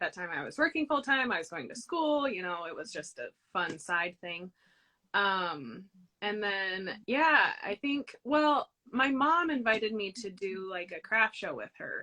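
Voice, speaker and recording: A woman with an Upper Midwest accent speaks at a fairly slow pace in a bright, sharp tone, her fairly high pitch making very wide swings and her loudness swinging widely too. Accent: Upper Midwest, shows when saying South Dakota. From US Midwest (South Dakota) and Colorado. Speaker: crochet designer. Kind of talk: casual interview chat. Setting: livestream.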